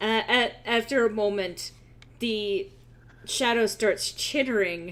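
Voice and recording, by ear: Someone is reading aloud in a natural voice. The text is read at its own flow.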